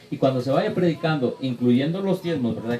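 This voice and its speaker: A man speaks with ordinary pitch variation. Noticeable background noise can be heard. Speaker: preacher. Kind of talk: Q&A session with congregation. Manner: fast.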